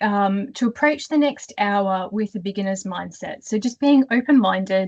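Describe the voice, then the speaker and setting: A woman with an Australian accent speaks at a fairly slow pace in a somewhat breathy voice, the sound dry and close with no echo. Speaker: career coach. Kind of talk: webinar presentation.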